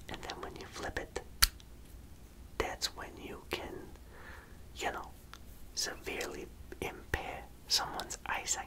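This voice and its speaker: There is noticeable background noise in this clip. A man whispers through it at a fairly slow pace. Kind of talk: ASMR roleplay, personal attention show-and-tell. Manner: whispered, soft-spoken.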